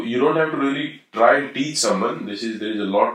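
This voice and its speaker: Here is a man with a normal speaking voice at a medium pitch. His pitch varies in an ordinary way. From Haryana, India. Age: 40s. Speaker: podcast guest. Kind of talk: casual discussion.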